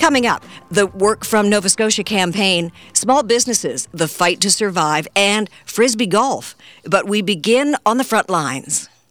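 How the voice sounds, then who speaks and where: A woman has an ordinary speaking voice at a medium pitch, with lively intonation. She keeps a moderate pace and very even loudness. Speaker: radio news magazine host. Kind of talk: radio news magazine patter, introducing segments. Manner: polished, brisk, formal.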